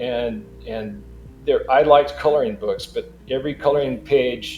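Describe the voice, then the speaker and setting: Music plays in the background as a man with a West Coast American accent speaks at a moderate pace. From Los Angeles, California. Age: 70s. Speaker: digital artist. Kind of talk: interview.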